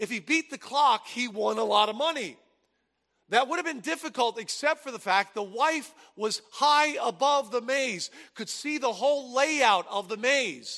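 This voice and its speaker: At a fairly slow pace, a man with an American accent speaks in a raised, projected voice of extremely high pitch, bright and sharp in tone with ordinary pitch variation. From New Jersey. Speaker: pastor. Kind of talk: sermon.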